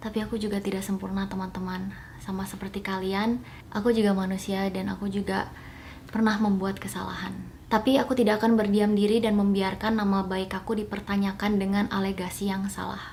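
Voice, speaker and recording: Over noticeable background noise and audible room echo, a woman with a medium pitch speaks at a fairly quick pace in a monotone, flat intonation. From Indonesia (Bali). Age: 30s. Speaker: YouTuber. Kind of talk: public clarification statement. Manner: formal.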